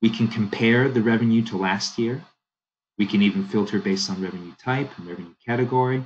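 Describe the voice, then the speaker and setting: The speaker has an American accent and moves at a fairly quick pace. The background is quiet. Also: man. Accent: sounds American (Canadian). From Canada. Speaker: software product demonstrator. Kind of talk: software demo walkthrough. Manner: casual, conversational.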